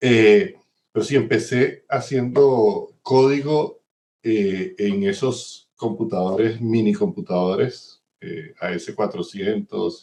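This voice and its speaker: Using a dark, mellow tone at a medium pitch, a man speaks at a very slow pace with lively intonation. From Venezuela. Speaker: systems engineer, insurance executive. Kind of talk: interview. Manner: hesitant with fillers.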